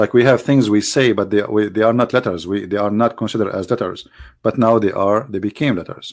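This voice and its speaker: A man with an Arabic accent speaks at a very fast pace, fairly low in pitch with fairly even intonation. The recording is very clean, with a silent background. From Middle East. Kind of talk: religious teaching talk. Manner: halting, many repetitions.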